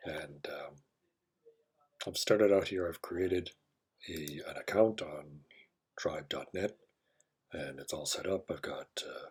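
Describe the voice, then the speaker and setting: Mumbling, a man talks at a fairly slow pace. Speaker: software walkthrough presenter. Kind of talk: screen-recorded tutorial narration.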